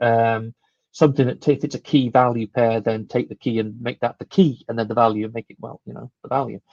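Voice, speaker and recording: Speaking very fast with a British accent, a man at medium pitch shows ordinary pitch variation, recorded in a dry, close sound with no echo. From UK. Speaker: conference speaker. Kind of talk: technical conference talk. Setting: live online stream. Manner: hesitant, with many fillers.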